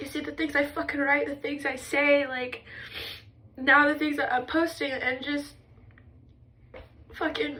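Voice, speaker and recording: Raised and projected, a woman's high, bright, sharp voice moves at a moderate pace with ordinary pitch variation. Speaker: mental health vlogger. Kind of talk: emotional personal vlog monologue. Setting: in a bathtub. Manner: intense, expressive; halting, restarting sentences.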